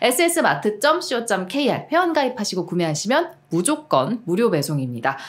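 A woman talks at a moderate pace in an animated tone. Her pitch swings very widely. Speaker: show host; channel co-host reading an ad. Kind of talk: casual chat. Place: studio. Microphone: studio mic.

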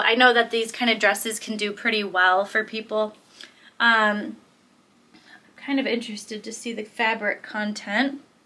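A woman's fairly high voice in an American accent, bright and sharp in tone, with monotone, flat intonation. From Michigan, US Midwest. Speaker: clothing reseller and video creator; clothing reseller, video creator. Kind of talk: casual haul video. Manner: casual, filler-heavy. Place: home room.

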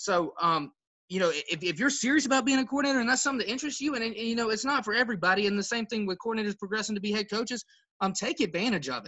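At a very fast pace, a man speaks with a high pitch, lively intonation and a bright, sharp tone.

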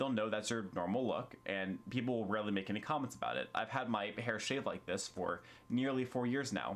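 Talking at a fairly quick pace with hardly any pauses, a man keeps very even loudness and ordinary pitch variation. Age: 20s. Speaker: YouTuber. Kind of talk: vlog monologue. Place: home room. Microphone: camera far.

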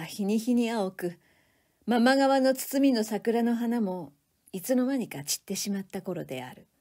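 This woman's voice has a fairly high pitch and a dark, mellow tone. She speaks at a fairly slow pace. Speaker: reading instructor, reader of literature. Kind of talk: literary reading aloud, audiobook style. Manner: narrative reading, steady pace.

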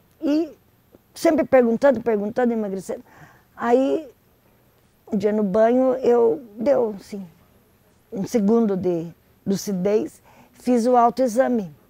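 The delivery is very slow, with long, frequent pauses, lively intonation and a dark, mellow tone in a dry sound with no echo. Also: woman, fairly high pitch for a woman. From Brazil, Paraná (Curitiba). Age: 60s. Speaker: stadium press accreditation worker. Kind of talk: personal testimony interview. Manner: conversational, hesitant at times. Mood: calm, reflective. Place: cafe. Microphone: lapel.

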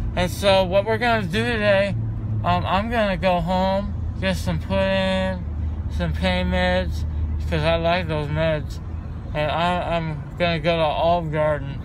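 At a fairly slow pace, a man with a very deep, low voice speaks in a dry sound with no echo amid noticeable background noise. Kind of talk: casual vlog chat. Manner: loopy, slurred, medicated rambling. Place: car. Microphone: phone near.

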